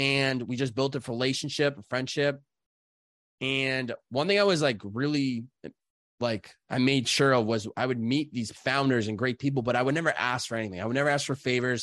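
Using a normal speaking voice, a man with an American accent talks at medium pitch and a moderate pace, his pitch varying in an ordinary way. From Massachusetts (Chicopee). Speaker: podcast host and content creator. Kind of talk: casual interview.

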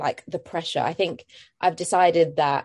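A woman with a London accent speaks in a very deep, low pitch with fairly even intonation over a quiet background. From East London, England. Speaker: actress. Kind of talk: casual interview. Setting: video call.

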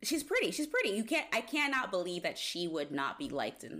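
A woman speaks at a moderate pace in an animated tone. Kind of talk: casual chat. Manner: animated, laughs often.

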